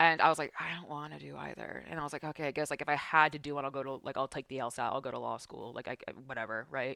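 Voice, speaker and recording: A woman with an East Coast accent, very deep and low in pitch, with vocal fry and a bright, sharp tone, fairly even intonation, big swings in loudness and a very fast pace. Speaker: esports broadcaster. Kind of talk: casual chat. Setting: podcast.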